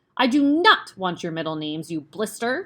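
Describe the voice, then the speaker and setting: A female-sounding, put-on character voice bellows in a furious tone at a medium pitch. The pace is moderate, and the recording is very clean with a silent background. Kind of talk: bullying, harsh. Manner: bellowing, furious.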